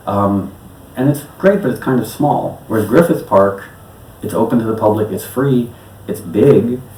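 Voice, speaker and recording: With an American accent and lively intonation, a man of medium pitch speaks over noticeable background noise. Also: moderate pace. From New York City. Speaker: electronic musician. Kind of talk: interview answer.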